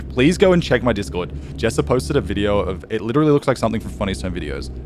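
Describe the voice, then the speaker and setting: A man talks with very wide swings in pitch. Noticeable background noise sits behind him. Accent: Australian. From Australia, east coast. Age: 20s. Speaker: video game streamer. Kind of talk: casual live stream chat.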